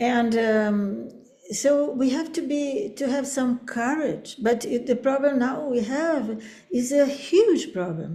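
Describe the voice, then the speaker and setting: With a Portuguese accent, a woman speaks very slowly in a dark, mellow tone at a high pitch, her voice carrying audible room echo. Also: lively intonation. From Brazil. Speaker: professor. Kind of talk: academic webinar conversation. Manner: halting.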